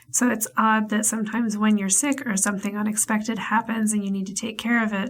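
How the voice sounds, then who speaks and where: Woman's fairly high voice at a very fast pace, monotone and flat. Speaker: podcast host and life coach. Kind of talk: casual monologue.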